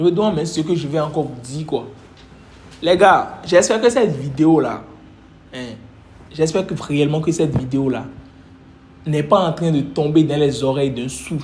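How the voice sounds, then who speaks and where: Animated in tone, a man speaks in a fairly high voice with ordinary pitch variation. Long, frequent pauses and audible room echo mark the clip. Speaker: trading coach. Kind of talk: motivational talk. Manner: fast.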